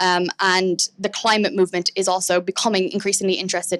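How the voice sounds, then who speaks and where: A woman at medium pitch speaks at a very fast pace. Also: dry, close sound with no echo. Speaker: conference speaker. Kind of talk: conference talk. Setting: stage with audience. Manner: hesitant, many fillers.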